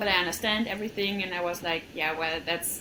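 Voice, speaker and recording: A woman speaks with a German accent and ordinary pitch variation. Noticeable background noise sits behind her. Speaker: coaching client. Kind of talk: testimony. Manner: hesitant.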